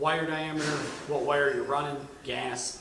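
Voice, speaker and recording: A man speaks fairly quickly. His voice carries room echo, with noticeable noise behind it. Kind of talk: product review explanation. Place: workshop.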